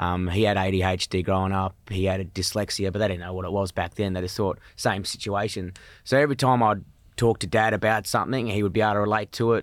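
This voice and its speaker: A man with a strong Australian accent, fairly low-pitched and fairly even in intonation, talking very fast on a very clean recording with a silent background. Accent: broad Australian. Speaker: comedian. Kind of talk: casual chat. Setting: studio.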